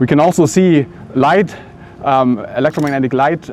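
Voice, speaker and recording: Fairly quick speech in a German accent, with ordinary pitch variation and noticeable background noise. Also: man. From Germany. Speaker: physics professor. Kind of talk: interview monologue. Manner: halting, many fillers.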